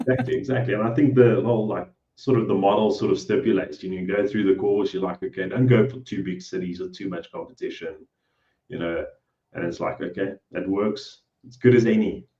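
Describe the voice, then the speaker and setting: A man with a fairly low pitch and a somewhat breathy sound talks at a fairly quick pace. His loudness swings widely while his pitch varies in an ordinary way. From South Africa. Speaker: cleaning business owner. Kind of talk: interview.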